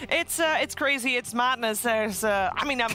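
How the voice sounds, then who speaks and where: A woman with a high pitch talks at a very fast pace over noticeable background noise. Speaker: esports caster. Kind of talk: live commentary.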